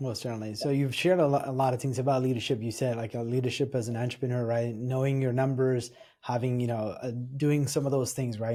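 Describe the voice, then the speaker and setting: This man talks at a very fast pace in a medium pitch. His tone is dark and mellow, and his intonation stays monotone and flat. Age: 40s. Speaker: podcast host. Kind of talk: interview.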